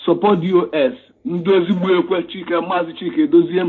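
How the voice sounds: A man speaks at a fairly quick pace in a high voice with a slightly husky edge and fairly even intonation.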